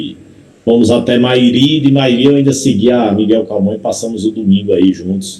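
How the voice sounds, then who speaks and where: A man with a strong Paraíba accent speaks at a moderate pace and medium pitch, his dark, mellow tone showing ordinary pitch variation over audible room echo. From Paraíba, Brazil. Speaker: pastor. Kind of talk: sermon.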